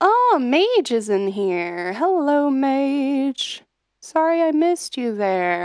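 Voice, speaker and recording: A high-pitched woman with an American accent speaks at a very slow pace, her pitch swinging very widely. The recording is very clean, with a silent background. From US. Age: 30s. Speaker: singer-songwriter streamer. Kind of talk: casual livestream chat. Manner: many fillers, hesitant.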